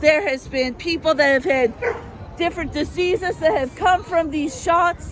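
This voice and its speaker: A loud woman talks at a moderate pace with an extremely high pitch and ordinary pitch variation. Noticeable background noise runs underneath. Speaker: rally speaker. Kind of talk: public speech.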